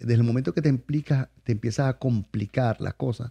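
With a dark, mellow tone, a man speaks at a medium pitch, somewhat breathy, with ordinary pitch variation and a dry, close sound with no echo. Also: quiet background. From Venezuela, Maracaibo (Zulia). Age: 50s. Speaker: chef. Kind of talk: casual interview. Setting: studio.

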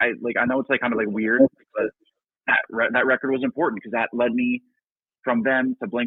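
A man with an American accent uses a normal speaking voice. His pitch is medium and his intonation fairly even. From New Jersey. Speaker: rock band singer and guitarist. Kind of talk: casual interview. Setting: call-in line to live show.

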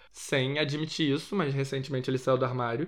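A man with a plain, everyday voice speaks at a fairly quick pace and a fairly high pitch. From Rio de Janeiro, Brazil. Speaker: podcast host. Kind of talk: casual pop culture commentary.

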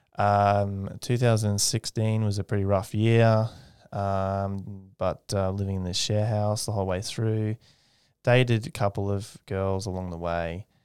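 A man with an Australian accent speaks at a fairly low pitch and a fairly slow pace. His intonation is fairly even, and the recording is very clean with a silent background. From Australia, Redcliffe, north Brisbane. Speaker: aerospace engineer. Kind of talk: casual interview.

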